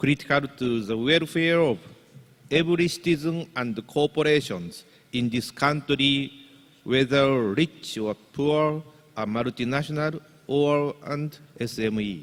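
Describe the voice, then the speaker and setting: Speaking with a Japanese accent, a man has a fairly high pitch. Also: ordinary pitch variation, fairly slow pace. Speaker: business association leader introducing keynote speaker. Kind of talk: formal speech introduction. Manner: formal.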